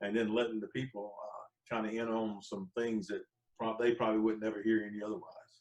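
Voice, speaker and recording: Talking fairly quickly, a man keeps a medium pitch and fairly even intonation. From North Carolina. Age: 60s. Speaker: gospel and country musician. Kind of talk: casual interview chat.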